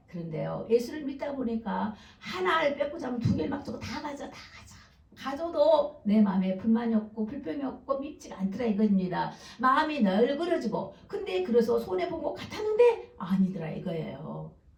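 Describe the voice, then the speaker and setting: A woman with a fairly high pitch and very wide pitch swings, in audible room echo. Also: moderate pace, big swings in loudness. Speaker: pastor. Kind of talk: sermon.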